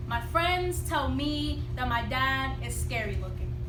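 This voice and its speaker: A woman's voice over noticeable background noise. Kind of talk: slam poetry performance.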